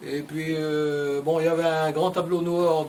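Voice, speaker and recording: Over noticeable background noise, a man with a fairly high pitch speaks at a fairly slow pace in a monotone, flat intonation. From western France, Vendée. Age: 70s. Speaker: retired interviewee. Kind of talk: interview. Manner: hesitant, many fillers.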